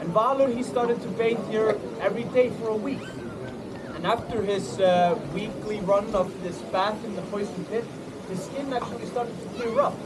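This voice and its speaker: With an Icelandic accent, a man speaks at a moderate pace in a high pitch, with audible room echo and noticeable background noise. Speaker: tour guide. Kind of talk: storytelling to a tour group. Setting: outdoors at a lagoon with a group. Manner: animated.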